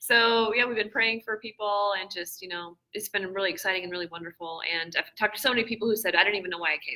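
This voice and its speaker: Someone with an American accent talks at a very fast pace, showing ordinary pitch variation and big swings in loudness. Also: woman, medium pitch for a woman, hardly any pauses. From Washington state, US. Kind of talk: casual interview. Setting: conference booth, live stream.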